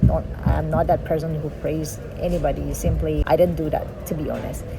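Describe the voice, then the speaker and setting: Over background music, a woman's speech moves at a moderate pace. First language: a local dialect, not English. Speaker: vlogger, cruise ship worker. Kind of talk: casual vlog talk. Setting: outdoors.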